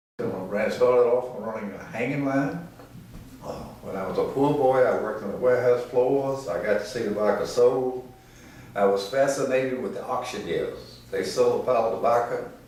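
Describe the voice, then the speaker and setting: A man with a Virginia accent talks over noticeable background noise. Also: moderate pace. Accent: Southern US (Virginia). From Danville, Virginia. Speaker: retired tobacco company executive. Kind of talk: oral history interview answer.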